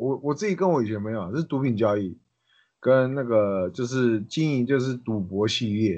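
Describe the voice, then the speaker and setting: This man has an ordinary speaking voice at medium pitch, with lively intonation and a moderate pace. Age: 20s. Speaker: ex-convict turned chef. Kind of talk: casual chat.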